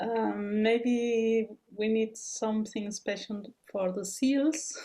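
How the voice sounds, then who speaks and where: Fairly high in pitch yet dark and mellow in tone, a woman talks in a somewhat breathy voice with a non-native accent. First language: not English. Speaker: researcher, webinar speaker. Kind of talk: Q&A answer in webinar.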